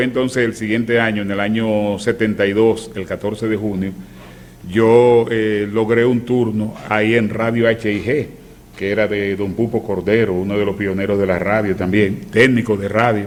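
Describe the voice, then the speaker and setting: A man's moderately paced, fairly low voice with fairly even intonation, an ordinary speaking voice. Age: 60s. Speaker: veteran radio announcer. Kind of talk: casual chat.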